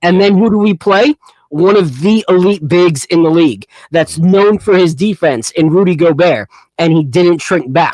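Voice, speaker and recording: A man's high-pitched voice in a New York accent, with ordinary pitch variation, very even loudness and a moderate pace, in a dry, close sound with no echo. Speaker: sports podcast host. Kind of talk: casual live podcast chat. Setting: home studio livestream. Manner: animated.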